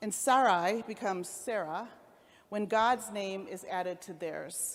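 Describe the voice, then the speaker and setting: A woman's medium-pitched voice in a Cleveland accent at a fairly slow pace. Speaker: rabbi. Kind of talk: sermon.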